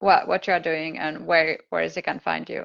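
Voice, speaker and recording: A non-native accent at a moderate pace. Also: woman. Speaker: confidence coach and live-stream host. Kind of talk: casual interview.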